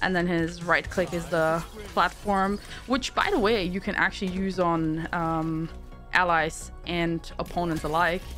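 A woman with a German accent speaks at fairly low pitch and a fairly slow pace with fairly even intonation. Music plays in the background. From Germany. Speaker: Twitch streamer. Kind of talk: game ability overview voiceover. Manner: casual.

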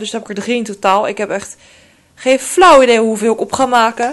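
This woman speaks at a fairly quick pace with fairly even intonation. Her pitch is fairly high. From Netherlands. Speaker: beauty vlogger. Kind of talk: casual vlog. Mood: relaxed, chatty. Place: home room. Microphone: phone near.

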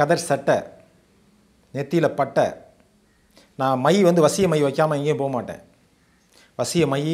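In a quiet background, a man with a plain, everyday voice speaks at a fairly high pitch with fairly even intonation. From Tamil Nadu, Sivaganga district; Tamil Nadu. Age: 50s. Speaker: former astrologer. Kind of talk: testimony. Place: home room. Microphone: lapel.

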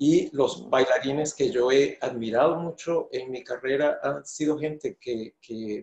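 A man talks at a fairly slow pace. He leaves hardly any pauses. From Venezuela. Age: 50s. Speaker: choreographer and dancer. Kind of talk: interview answer. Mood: thoughtful, earnest. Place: home room.

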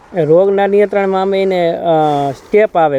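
The sound is dry and close with no echo as a man with a dark, mellow tone speaks with ordinary pitch variation. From Saurashtra, Gujarat (Morbi district). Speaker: guava farmer. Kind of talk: field interview. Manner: halting.

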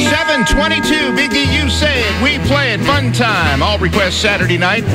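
Over loud background music, a man talks at a moderate pace in a dry recording with no echo. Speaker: radio DJ. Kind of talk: radio DJ show patter, station promo. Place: studio. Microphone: studio mic.

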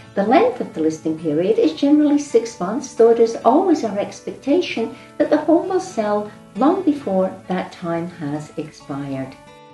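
Faint music plays in the background as a woman speaks at a moderate pace, with audible room echo. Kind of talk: tutorial. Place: office.

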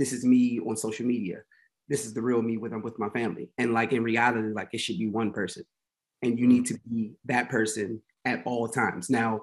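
A man with an American accent speaks at a moderate pace with ordinary pitch variation. The background is quiet. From Washington, D.C. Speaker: talent manager and agency founder; podcast guest. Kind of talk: casual interview chat. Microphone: webcam.

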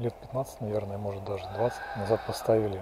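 Dry sound with no echo from a man, plus noticeable background noise. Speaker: local walking guide. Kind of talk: casual walking commentary. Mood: nostalgic, calm. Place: street. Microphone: phone near.

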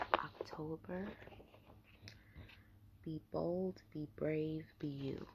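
Whispering and soft-spoken, the voice moves at a very slow pace with long, frequent pauses against loud background noise. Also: woman. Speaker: vlogger. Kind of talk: casual talk to camera. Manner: whispered, soft. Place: home room. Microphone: webcam.

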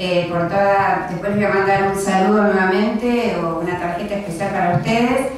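A woman's voice comes through with strong room echo and light background noise. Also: moderate pace. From Argentina, Quilmes (Buenos Aires). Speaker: library director. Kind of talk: lecture. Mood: warm, grateful. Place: meeting room.

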